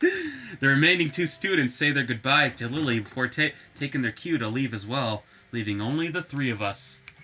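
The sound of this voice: Lively intonation marks the delivery. It comes in an unforced reading voice.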